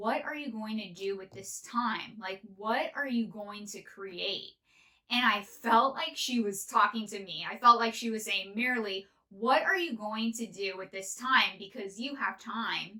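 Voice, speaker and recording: In a normal speaking voice with an American accent, a woman speaks at a fairly high pitch with ordinary pitch variation and big swings in loudness. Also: fairly slow pace. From northern California. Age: 30s. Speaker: podcast host. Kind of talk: casual monologue.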